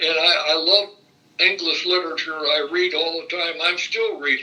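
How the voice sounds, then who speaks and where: Noticeable background noise surrounds this recording. A man with a Midwestern American accent speaks at a fairly slow pace. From Indiana, Fort Wayne. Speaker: retired state legislator. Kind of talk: oral history interview. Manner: halting, many fillers and repetitions.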